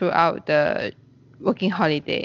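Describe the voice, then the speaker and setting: A woman speaks with fairly even intonation. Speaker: podcast host. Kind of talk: casual interview.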